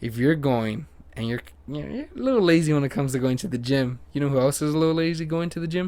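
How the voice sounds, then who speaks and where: This man talks at a very fast pace in a fairly high pitch with ordinary pitch variation. His voice has a dark, mellow tone. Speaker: podcast host. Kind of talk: casual chat.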